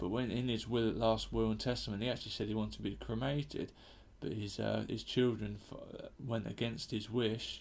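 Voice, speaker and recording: A man with a British accent speaks at a fairly quick pace, with audible room echo. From UK. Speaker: comedian. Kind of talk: comedic monologue. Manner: casual, hesitant with fillers.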